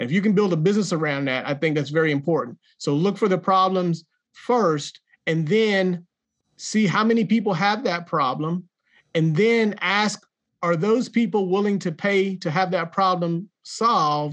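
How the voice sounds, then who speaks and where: A man speaks in a Southern US accent. His pitch is high. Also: ordinary pitch variation, moderate pace. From Jacksonville, North Carolina. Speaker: author and entrepreneur. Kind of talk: interview.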